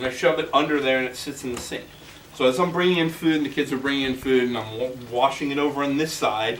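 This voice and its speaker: Over noticeable background noise and audible room echo, a man with a fairly high voice talks very fast. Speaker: gardening workshop instructor. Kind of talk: workshop class talk. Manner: animated.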